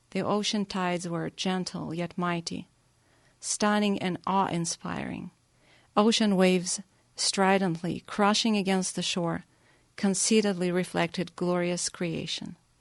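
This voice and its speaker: A woman with a slight Russian accent, medium in pitch, at a fairly slow pace with monotone, flat intonation, over a quiet background. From Russia (Nizhny Novgorod, Crimea). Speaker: pianist. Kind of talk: prepared song introduction; radio interview. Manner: halting with fillers.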